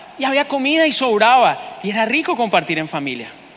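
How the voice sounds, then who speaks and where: There is noticeable background noise behind the speaker. The tone is animated and the pace moderate. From Bogotá, Colombia. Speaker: pastor. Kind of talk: sermon. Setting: church.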